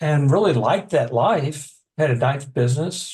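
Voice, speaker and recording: A man with an American accent speaks at a moderate pace in a somewhat breathy voice, pitched fairly high with ordinary pitch variation. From Texas. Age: 60s. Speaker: author and addiction counselor. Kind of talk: interview. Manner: halting.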